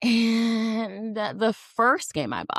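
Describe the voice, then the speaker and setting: A woman with a fairly high pitch speaks in an animated tone, her voice showing vocal fry. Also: dry, close sound with no echo. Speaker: podcast host. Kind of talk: casual chat. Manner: loud, animated.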